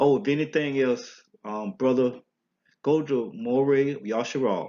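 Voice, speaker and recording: A man in a strong Southern US accent, at a fairly slow pace with ordinary pitch variation. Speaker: religious teacher. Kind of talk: religious teaching talk. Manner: halting.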